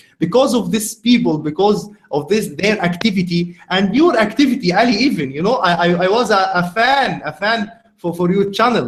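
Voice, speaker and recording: A man speaks at a moderate pace with an Arabic accent, his pitch high and its variation ordinary. Noticeable background noise runs under him. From Egypt, Cairo. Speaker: podcast host. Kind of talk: casual conversation. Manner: halting.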